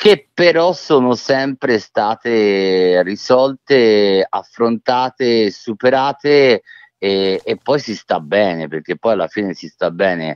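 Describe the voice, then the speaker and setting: Speaking at a very slow pace with lively intonation, a man with a medium pitch talks with a slight Tuscan accent. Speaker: author. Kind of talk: interview. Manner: halting, repeats words.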